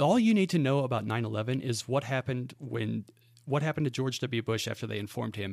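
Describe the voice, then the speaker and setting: In an American accent, a man talks at a very fast pace and a medium pitch, with vocal fry and ordinary pitch variation. The recording is very clean, with a silent background. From central Kansas, US. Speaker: conspiracy podcaster. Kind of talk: casual chat.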